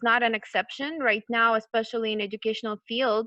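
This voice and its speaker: Speaking at a fairly quick pace, a woman with an unremarkable speaking voice sits at a fairly high pitch. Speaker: college program manager and counselor. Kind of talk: online lecture / webinar.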